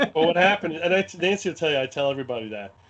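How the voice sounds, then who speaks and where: A man with a Brooklyn accent, fairly high in pitch, with very wide pitch swings. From US Northeast, Brooklyn, New York. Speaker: wargame scenario designer. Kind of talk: podcast interview.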